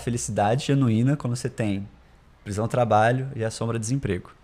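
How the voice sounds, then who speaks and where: A man speaks fairly quickly in a somewhat breathy, medium-pitched voice with ordinary pitch variation. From Brasília, Brazil. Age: 20s. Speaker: startup founder. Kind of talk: casual interview chat.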